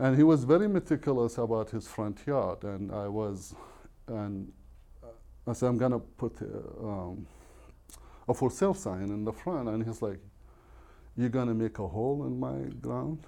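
A man speaks at a fairly slow pace in a medium pitch. His tone is dark and mellow, with ordinary pitch variation.

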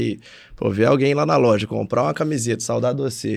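Vocal fry from a man at a medium pitch, with lively intonation and a fairly quick pace, against a quiet background. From Brazil, Minas Gerais. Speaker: podcast co-host, business owner. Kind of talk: casual chat. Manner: animated.

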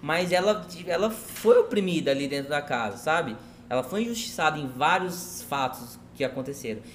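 With lively intonation and a fairly high pitch, a man is heard over noticeable background noise. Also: moderate pace. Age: 30s. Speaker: marketing agency owner. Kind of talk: casual chat. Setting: restaurant, in person.

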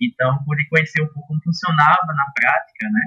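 A fairly high male voice with a bright, sharp tone, ordinary pitch variation and a dry, close sound with no echo. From Brazil, Pernambuco backlands (Petrolina). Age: 20s. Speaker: architect and urban planner. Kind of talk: casual interview.

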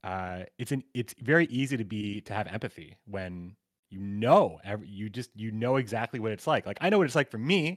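A man with a normal speaking voice talks at a fairly quick pace, his medium-pitched delivery carrying lively intonation and big swings in loudness. The very clean recording has a silent background and a dry, close sound with no echo. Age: 30s. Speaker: gamer and streamer. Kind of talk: casual chat.

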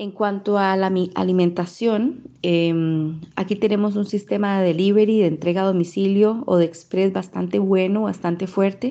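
At a moderate pace, a woman with an unremarkable speaking voice talks at medium pitch with fairly even intonation over a quiet background. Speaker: Costa Rican living abroad. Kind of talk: testimony.

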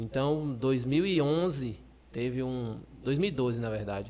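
He is a man with a medium pitch and ordinary pitch variation. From Maranhão, Brazil (Pinheiro). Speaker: Paralympic blind football player. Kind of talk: interview.

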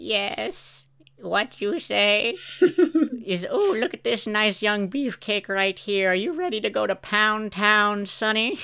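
A put-on, creaky, female-sounding character voice at medium pitch and a fairly slow pace, in a very clean recording with a silent background. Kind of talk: comic overacting. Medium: read story. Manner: doddering, flirtatious.

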